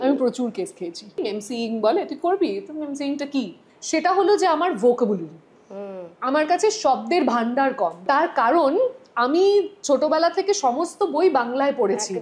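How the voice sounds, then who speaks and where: Swinging very widely in pitch, a woman talks in a high voice. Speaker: sports anchor and FM radio host. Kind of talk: casual podcast interview conversation.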